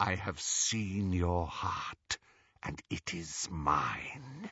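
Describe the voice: A man's whispering put-on character voice, hissing, at a very slow pace.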